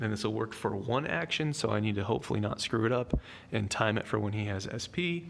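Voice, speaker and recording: Fairly low in pitch, a man talks at a very fast pace with lively intonation. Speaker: gaming YouTuber. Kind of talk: game tutorial commentary. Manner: casual.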